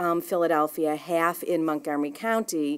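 A woman with a New England accent and a fairly low pitch. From Boston. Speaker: watershed nonprofit director. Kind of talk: conference presentation. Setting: live event with audience. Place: meeting room. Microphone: podium.

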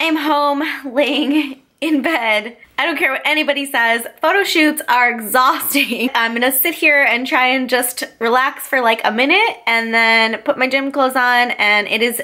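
A woman speaks in a raised, projected voice at a moderate pace, with ordinary pitch variation and hardly any pauses. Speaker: fitness vlogger. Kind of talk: casual vlog chat. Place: home room. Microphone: phone near.

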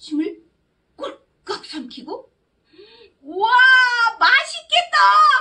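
An extremely high, put-on character voice moves at a very slow pace with very wide pitch swings and long, frequent pauses. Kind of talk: children's story reading. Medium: read story. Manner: lively, expressive.

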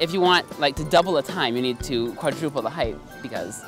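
Speech comes at a fairly quick pace over clear background music, the sound dry with no echo. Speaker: interviewee. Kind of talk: interview answer. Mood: friendly, lightly amused. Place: open country. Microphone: handheld.

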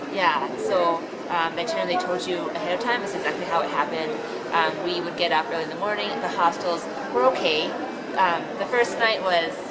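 With crowd noise behind her, a woman talks using ordinary pitch variation. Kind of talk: testimonial interview answer. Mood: positive, relaxed recollection. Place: shop. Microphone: phone near.

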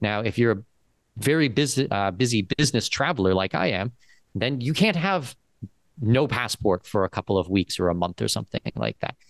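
An unremarkable speaking voice, a man with a Canadian accent talks at a fairly quick pace and fairly low pitch, with lively intonation, in a dry sound with no echo and a quiet background. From Southwestern Ontario, Canada. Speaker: second citizenship and expat consultant. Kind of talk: interview. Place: office. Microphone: studio mic.

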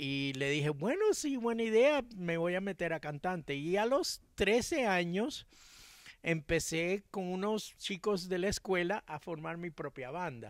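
Pitched high, a man speaks fairly slowly with lively intonation. The background is quiet and the sound is dry with no echo. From Cuba-born, raised in Miami. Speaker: music producer and songwriter; interviewee. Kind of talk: interview. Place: garden. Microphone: handheld.

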